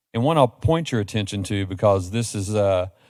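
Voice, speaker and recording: On a very clean recording with a silent background, a man with an American accent talks very fast at a fairly low pitch, with ordinary pitch variation. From Kentucky, Frankfort. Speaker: nonprofit education leader, panelist. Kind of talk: panel presentation.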